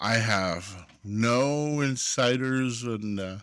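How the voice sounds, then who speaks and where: A man talks at a medium pitch. The recording is very clean, with a silent background. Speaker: tabletop RPG youtuber. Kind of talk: casual vlog talk. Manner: halting, many fillers; deliberately lowered pitch.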